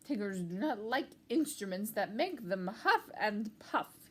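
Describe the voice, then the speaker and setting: A female-sounding, put-on character voice with a fairly high pitch speaks at a fairly slow pace. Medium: read story.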